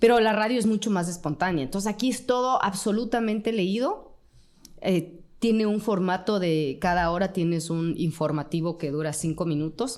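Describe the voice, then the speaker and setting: This woman speaks with an Ecuadorian accent. Her pitch sits in the medium range and varies in an ordinary way. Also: moderate pace. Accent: Ecuadorian Spanish, unchanged. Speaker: journalist and radio presenter. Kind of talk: interview conversation.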